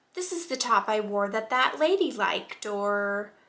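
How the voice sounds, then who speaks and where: Soft-spoken yet bright and sharp in tone, a woman with a fairly high pitch speaks with lively intonation. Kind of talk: casual talk to camera. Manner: soft-spoken, calming.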